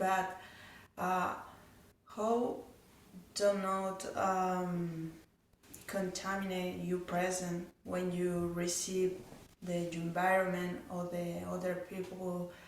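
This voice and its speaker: A woman's medium-pitched, monotone, flat delivery at a very slow pace, with long, frequent pauses and audible room echo. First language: not English. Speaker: audience member. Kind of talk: question at a talk. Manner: halting.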